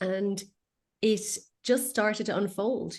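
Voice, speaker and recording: With an Irish accent and fairly even intonation, the voice comes through against a quiet background. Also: woman. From west coast of Ireland. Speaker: feng shui consultant. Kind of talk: interview.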